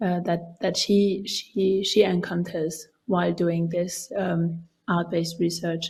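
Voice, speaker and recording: Woman's somewhat breathy voice, fairly low in pitch with a dark, mellow tone, monotone and flat, at a fairly slow pace, in a very clean recording with a silent background. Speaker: researcher. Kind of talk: lecture. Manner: halting.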